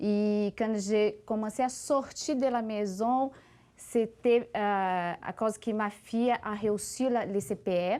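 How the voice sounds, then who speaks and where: A woman's fairly high, dark, mellow voice with a non-native accent, very slow pace and ordinary pitch variation in a very clean recording with a silent background. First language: not French (speaking French). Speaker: former volunteer now hospice employee. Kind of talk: interview.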